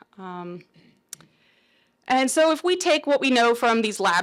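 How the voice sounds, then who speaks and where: A woman speaks at a moderate pace with ordinary pitch variation, in an unremarkable speaking voice. The recording is very clean, with a silent background. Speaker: research scientist presenting. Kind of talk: conference presentation.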